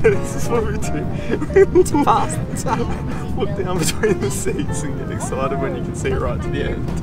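Moderate pace, a dry sound with no echo, and loud music playing in the background. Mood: playful, relieved. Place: plane. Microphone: phone near.

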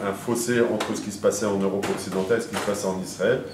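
A man speaks fairly quickly in a fairly low, flat monotone. Noticeable background noise runs underneath. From Paris, France. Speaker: lecturer. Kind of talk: lecture. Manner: halting. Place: hall.

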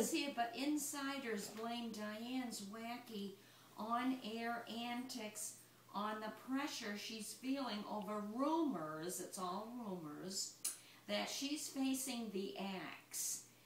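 A woman speaks at a very slow pace with ordinary pitch variation. There is audible room echo and light background noise. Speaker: mother. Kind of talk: reading a tabloid article aloud. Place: home room.

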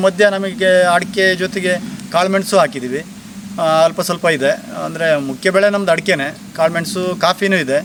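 Loudness holds very even throughout, and the intonation stays fairly even. Background noise is noticeable. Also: man. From Sagara taluk, Shivamogga district, Karnataka (Malnad). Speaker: farmer. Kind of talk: interview.

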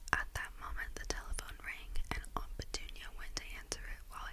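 With light background noise, a soft-spoken woman whispers in a gentle tone at a moderate pace. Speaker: ASMR content creator; ASMR creator. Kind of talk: audiobook-style reading of a novel. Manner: soft-spoken, gentle; whispered. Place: home room. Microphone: studio mic.

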